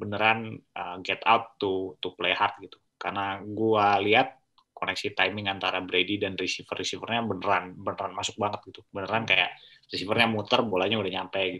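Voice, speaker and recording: A man's fairly low voice with a bright, sharp tone at a fairly quick pace, monotone and flat in intonation, with big swings in loudness against a quiet background. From Indonesia. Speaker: co-host, NFL analyst. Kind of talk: casual sports analysis chat. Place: home room. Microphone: video call.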